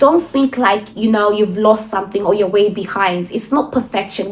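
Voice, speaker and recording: A woman talks at a moderate pace with ordinary pitch variation while noticeable background noise runs underneath. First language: not English. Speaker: self-improvement vlogger. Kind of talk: motivational monologue. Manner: animated.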